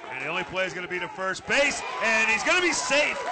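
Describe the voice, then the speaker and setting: Over crowd noise in the background, a man uses a raised, projected voice, high in pitch with lively intonation. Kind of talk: live baseball play-by-play commentary.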